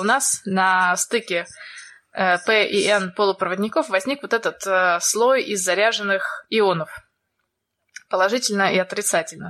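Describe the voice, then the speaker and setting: The voice moves at a fairly slow pace with ordinary pitch variation. Its tone is bright and sharp. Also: woman. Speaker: podcast co-host. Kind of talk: science explainer.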